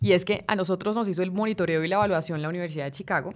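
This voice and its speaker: A woman speaks with a fairly low pitch against a quiet background. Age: 30s. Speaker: journalist and political scientist; journalist. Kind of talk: interview. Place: studio. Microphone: studio mic.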